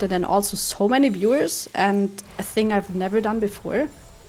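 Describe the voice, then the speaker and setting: The speaker is a woman with a German accent. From Germany. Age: 30s. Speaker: streamer and esports commentator. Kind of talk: casual interview during gameplay.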